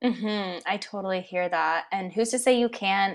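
A woman with a Californian accent speaks at medium pitch with ordinary pitch variation. The recording is very clean, with a silent background. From US West Coast (San Francisco). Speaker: podcast host, holistic nutritionist. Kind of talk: interview.

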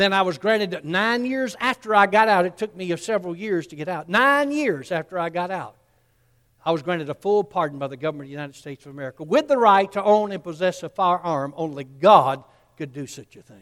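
The speaker has a Southern US accent and lively intonation at a fairly quick pace. Loudness swings widely. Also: man, high pitch for a man. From US South, Columbus, Georgia. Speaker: pastor. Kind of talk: sermon.

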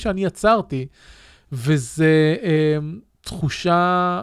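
A man is speaking. Behind him the background is silent, and the recording is very clean. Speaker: podcast host. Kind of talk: solo podcast monologue with listener Q&A. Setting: live-streamed studio recording.

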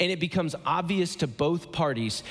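A man's fairly high voice with an American accent and lively intonation, a plain, everyday voice. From Ohio, US Midwest. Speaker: guest pastor. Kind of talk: sermon. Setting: church stage with audience.

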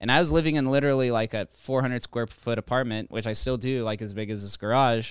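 Talking very fast with an American accent, a man keeps a medium pitch and ordinary pitch variation in a very clean, silent recording that sounds dry and close with no echo. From Las Vegas, Nevada. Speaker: crypto consultant. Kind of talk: casual chat.

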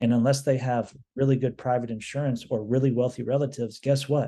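This man's voice is somewhat breathy, with a dark, mellow tone and medium pitch. He talks fairly quickly in a flat monotone against a quiet background. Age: 40s. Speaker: housing director at a homeless shelter. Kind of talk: casual chat.

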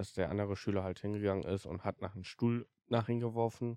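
In a very clean recording with a silent background and a dry, close sound with no echo, a fairly low-pitched man speaks at a moderate pace with fairly even intonation. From Germany, Siegburg. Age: 20s. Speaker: podcast host. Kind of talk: personal storytelling monologue. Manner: halting, many fillers.

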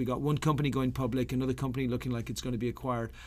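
An Irish accent in a very clean recording with a silent background. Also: man. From Ireland. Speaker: startup accelerator founder. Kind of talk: interview.

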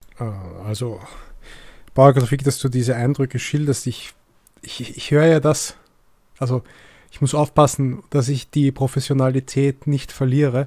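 Somewhat breathy and dark, mellow in tone, a man speaks at a fairly slow pace with big swings in loudness. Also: medium pitch for a man, fairly even intonation. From Egyptian family. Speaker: podcast host. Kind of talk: interview.

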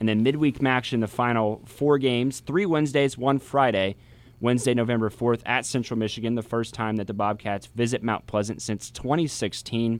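At a moderate pace and medium pitch, the man uses an ordinary speaking voice with ordinary pitch variation. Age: 20s. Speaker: college radio sports host. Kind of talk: sports talk radio. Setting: radio studio.

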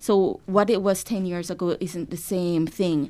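A woman speaks at a medium pitch in a flat monotone. The recording is very clean, with a silent background. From rural Jamaica. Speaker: cultural institution deputy director. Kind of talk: casual chat, informative.

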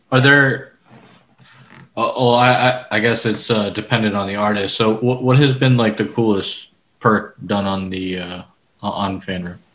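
Speaking at a fairly slow pace, a man with an American accent and a normal speaking voice has fairly low pitch and ordinary pitch variation. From Florida, Orlando. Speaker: podcast host. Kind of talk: casual chat.

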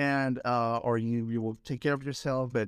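A man with a Spanish accent at a medium pitch and moderate pace, in a very clean recording with a silent background. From Peru. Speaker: coach and energy healer. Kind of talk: interview.

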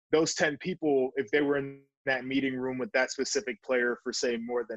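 This man has an ordinary speaking voice, medium in pitch, at a fairly quick pace. The sound is dry and close, with no echo. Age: 20s. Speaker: sports podcast host and former football player. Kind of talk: solo podcast monologue.

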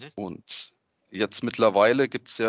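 At a fairly slow pace, a man speaks. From Freiburg, southwestern Germany. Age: 30s. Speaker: product designer and hobby game developer. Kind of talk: podcast interview. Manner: hesitant, many fillers.

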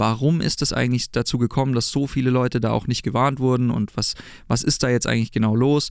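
Here is an ordinary speaking voice. A man talks at a fairly quick pace and a medium pitch. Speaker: rock band frontman and singer. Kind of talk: casual interview chat. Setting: studio.

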